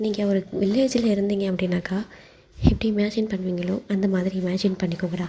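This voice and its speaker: Medium in pitch, the woman's voice has a dark, mellow tone and sounds somewhat breathy. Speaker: fan fiction narrator. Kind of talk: read story narration. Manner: casual, chatty.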